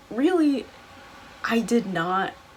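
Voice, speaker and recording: A woman with an American accent speaks at a fairly high pitch against noticeable background noise. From US South, Atlanta area. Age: 20s. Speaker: student vlogger. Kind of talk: casual vlog talk. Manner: casual, filler-heavy.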